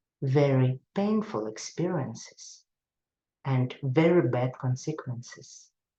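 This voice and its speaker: A woman with a Russian accent speaks very slowly in a dark, mellow tone with ordinary pitch variation. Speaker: psychotherapist. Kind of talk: lecture. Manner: halting.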